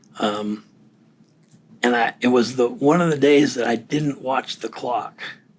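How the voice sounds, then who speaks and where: Speaking with fairly even intonation, a man is heard over noticeable background noise. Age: 60s. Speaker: recently retired defense worker and client. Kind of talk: casual interview conversation. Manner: halting.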